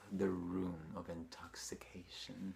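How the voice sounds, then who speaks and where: A man is speaking. His voice has vocal fry. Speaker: dancer, actor, choreographer. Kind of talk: horror story reading.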